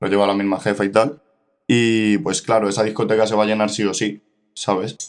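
The man's voice is fairly low and monotone, flat in intonation. He talks at a fairly quick pace. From Spain, Ávila. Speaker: rapper. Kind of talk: casual chat.

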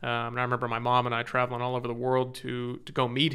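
The speaker has a Californian accent. The pace is fairly quick. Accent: Californian American. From Southern California (Orange County). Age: 30s. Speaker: software company business development executive. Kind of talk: interview conversation. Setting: studio.

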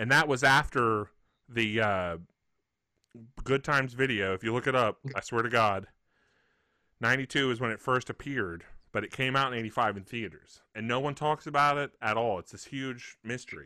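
At a moderate pace and in a Southern US accent, the voice has a bright, sharp tone with long, frequent pauses. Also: man, medium pitch for a man, ordinary pitch variation, very clean recording, silent background. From Mississippi. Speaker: podcast co-host. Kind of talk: casual chat.

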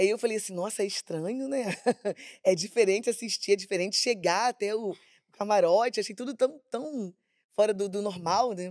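This woman has an unremarkable speaking voice, medium in pitch, with ordinary pitch variation and a moderate pace. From Baixada Fluminense, Rio de Janeiro state. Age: 50s. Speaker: samba school flag bearer. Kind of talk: casual chat.

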